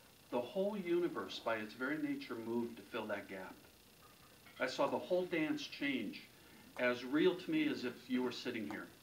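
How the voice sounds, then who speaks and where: A man speaks at a moderate pace amid audible room echo. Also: medium pitch for a man, lively intonation. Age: 60s. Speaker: motivational speaker and sales author. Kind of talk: keynote talk. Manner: storytelling.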